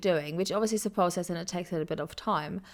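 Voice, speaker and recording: Over a very clean recording with a silent background, a woman speaks at a fairly quick pace. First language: German. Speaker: podcast host. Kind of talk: casual interview chat. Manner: long-winded, circling.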